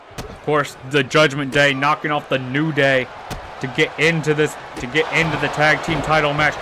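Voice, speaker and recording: Amid noticeable background noise, a man speaks at a moderate pace in a monotone, flat intonation. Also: fairly high pitch for a man. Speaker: gaming youtuber doing wrestling commentary. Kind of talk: live play-by-play commentary of a video game match. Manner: stumbling, stutters.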